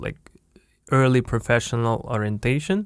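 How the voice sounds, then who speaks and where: A man speaks in a Russian accent. The recording is very clean, with a silent background. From Siberia, Russia (Biysk). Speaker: podcast host, entrepreneur. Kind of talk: casual chat. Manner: halting, searching for words.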